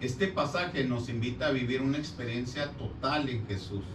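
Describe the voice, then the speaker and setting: The speech comes at a fairly slow pace, with audible room echo and music in the background. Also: man. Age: 60s. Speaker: parish lay minister presenting a Bible study thesis. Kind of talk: presentation of a written thesis. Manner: formal.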